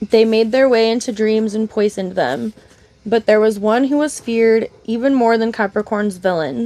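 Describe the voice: Intonation varies only a little in this plain reading aloud.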